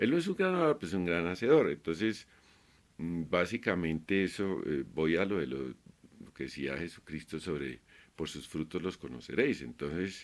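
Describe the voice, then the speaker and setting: At a moderate pace, a man with a very deep, low pitch talks with lively intonation and vocal fry. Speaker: YouTuber, artist. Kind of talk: casual vlog monologue. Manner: halting, many fillers; not a fluent speaker.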